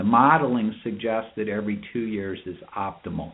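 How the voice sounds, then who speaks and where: A man's plain, everyday voice at a moderate pace, with ordinary pitch variation. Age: 60s. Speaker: urologist. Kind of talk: expert talk on a medical webinar. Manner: measured, explanatory.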